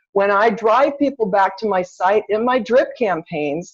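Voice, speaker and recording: This woman has an unremarkable speaking voice at a medium pitch. She speaks at a moderate pace with ordinary pitch variation. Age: 50s. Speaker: real estate agent and CRM trainer. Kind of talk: webinar training talk. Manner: casual, conversational.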